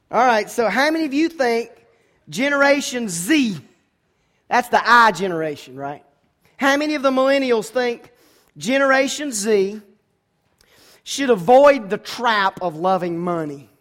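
In an American accent, a man speaks at an extremely high pitch with very wide pitch swings, at a fairly slow pace with long, frequent pauses. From US South, Georgia. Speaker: pastor. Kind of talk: sermon. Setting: church.

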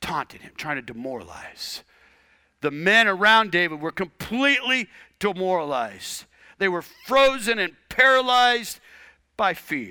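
On a very clean recording with a silent background, a man with a high pitch and bright, sharp tone projects his raised voice at a fairly slow pace, his pitch swinging very widely and his loudness shifting greatly. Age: 50s. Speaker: pastor. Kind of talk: sermon.

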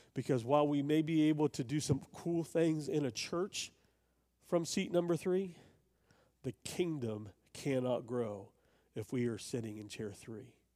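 This man has a fairly high pitch, a dark, mellow tone and lively intonation. He moves at a fairly slow pace with long, frequent pauses, recorded very cleanly against a silent background. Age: 50s. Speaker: pastor. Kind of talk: sermon.

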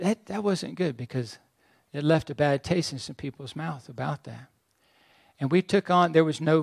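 A man with a plain, everyday voice talks at a moderate pace, his pitch fairly high with ordinary variation. The recording is very clean and dry, close with no echo and a silent background. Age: 60s. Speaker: pastor. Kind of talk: sermon.

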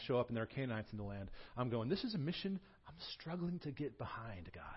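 A man speaks at a very fast pace and a medium pitch. His voice is somewhat breathy, with lively intonation. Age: 40s. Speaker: pastor. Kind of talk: sermon. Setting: church. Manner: animated.

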